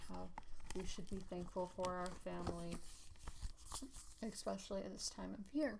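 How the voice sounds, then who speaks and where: Soft-spoken, a woman talks in an American accent. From South Carolina. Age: 20s. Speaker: ASMR creator. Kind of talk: ASMR storybook reading.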